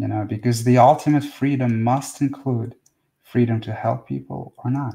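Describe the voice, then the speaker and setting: A man speaks at a moderate pace in a medium pitch, his voice somewhat breathy and his intonation flat and monotone. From Russia. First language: Russian. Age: 40s. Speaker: spiritual teacher. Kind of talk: live stream talk and Q&A. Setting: live video stream. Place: home room. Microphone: webcam.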